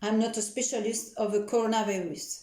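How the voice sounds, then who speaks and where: This woman's voice sits at a fairly high pitch, with audible echo from the room. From France. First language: French. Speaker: nutritionist. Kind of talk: educational talk. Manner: halting.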